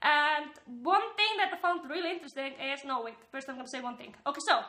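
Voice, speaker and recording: A woman speaks at a very fast pace in a high, raised and projected voice. Her tone is bright and sharp, with lively intonation and big swings in loudness. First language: not English. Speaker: YouTuber commentator. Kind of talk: casual vlog commentary. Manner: animated, filler-heavy.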